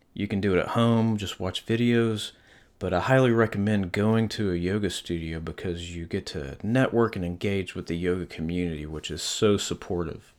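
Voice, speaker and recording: A man's fairly low voice carries ordinary pitch variation at a moderate pace. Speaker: podcast host, artist and yoga teacher. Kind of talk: solo podcast monologue. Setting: home studio, one-person podcast setup.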